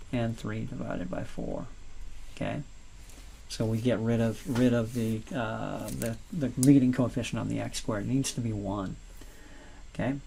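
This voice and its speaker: Audible room echo surrounds a man talking at a moderate pace with long, frequent pauses. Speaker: math teacher. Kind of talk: lecture.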